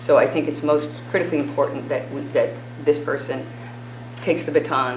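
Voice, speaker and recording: Noticeable noise can be heard in the background. The talking moves along fairly quickly. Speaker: candidate for acting school superintendent. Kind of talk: job interview answer at public meeting. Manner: fast; measured.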